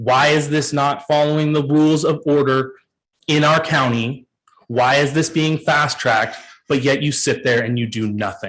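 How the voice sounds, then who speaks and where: The man has a fairly high voice. His pace is moderate and his intonation fairly even. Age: 30s. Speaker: public commenter at county meeting. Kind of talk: public comment speech. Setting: public meeting. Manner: impassioned.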